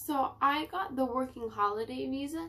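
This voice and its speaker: A woman with a Canadian accent talks at a fairly slow pace, her high pitch making very wide swings. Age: 20s. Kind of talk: casual talk to camera.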